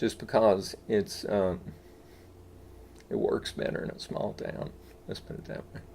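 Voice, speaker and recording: Speaking in an Appalachian accent, a man keeps a moderate pace. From East Tennessee. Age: 60s. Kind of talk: interview answer.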